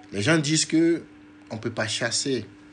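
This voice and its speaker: A man at a very slow pace, with music in the background. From Togo. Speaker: diaspora activist and politician. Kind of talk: political livestream talk. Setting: live video stream.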